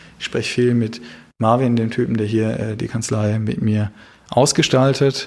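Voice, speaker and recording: A man speaks at a moderate pace with a medium pitch and ordinary pitch variation, in a very clean recording with a silent background. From Baden, southern Germany. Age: 30s. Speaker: criminal defense lawyer. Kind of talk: interview.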